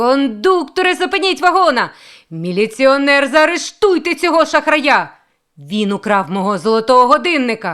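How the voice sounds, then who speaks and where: A shrill, high-pitched, female-sounding put-on character voice moves at a moderate pace on a very clean recording with a silent background. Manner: shrill, shrieking.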